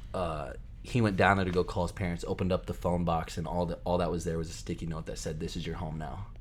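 Very deep and low, a man's voice with vocal fry races along at a very fast pace, its pitch varying in an ordinary way. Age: 20s. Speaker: college aviation student. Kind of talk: casual chat.

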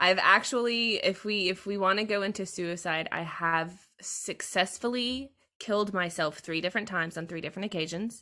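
A woman's bright, sharp tone in an American accent with ordinary pitch variation. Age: 20s. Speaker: streamer. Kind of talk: casual chat. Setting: video call.

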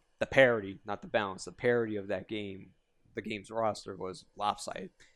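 A man with a New York accent speaks at a fairly low pitch on a very clean recording with a silent background. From Yonkers, New York. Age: 20s. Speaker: fighting game community writer. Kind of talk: casual chat.

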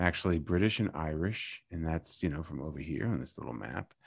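Talking at a fairly quick pace, a man uses lively intonation. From Maryland, US. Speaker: actor and improv comedian. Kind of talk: interview.

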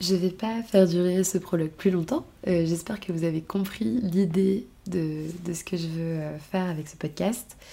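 A woman speaks at a moderate pace and fairly low pitch, somewhat breathy, in a dark, mellow tone. Her loudness swings widely, while her pitch variation is ordinary. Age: 20s. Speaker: podcast host. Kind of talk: personal monologue. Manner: hesitant, many fillers.

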